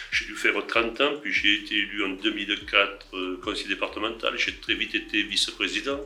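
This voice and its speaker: Talking at a fairly quick pace, a man is heard. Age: 60s. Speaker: senator. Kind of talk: interview answers.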